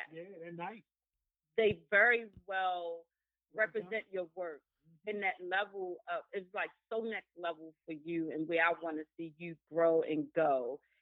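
Delivered at a moderate pace with ordinary pitch variation and big swings in loudness, this is a plain, everyday voice. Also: woman, fairly low pitch for a woman. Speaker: guest. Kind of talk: casual chat.

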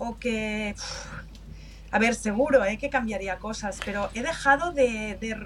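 Over noticeable background noise, a woman speaks fairly slowly in a fairly high voice. Her pitch varies in an ordinary way while her loudness swings a lot. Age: 50s. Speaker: customer experience manager. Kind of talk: interview.

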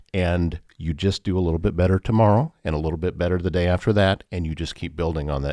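A very deep, low-pitched man at a fairly quick pace, with a dry, close sound and no echo. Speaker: podcast host. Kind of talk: interview. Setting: studio.

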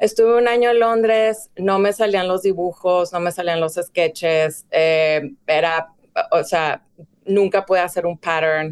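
It is an ordinary speaking voice at a fairly slow pace. Loudness stays very even, with ordinary pitch variation. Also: woman, medium pitch for a woman. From Mexico, Ciudad Juárez (border). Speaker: fashion director and stylist. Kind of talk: casual interview.

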